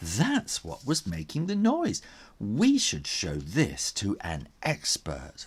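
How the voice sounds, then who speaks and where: A put-on character voice at a very slow pace. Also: man. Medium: read story. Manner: scary, creepy storytelling.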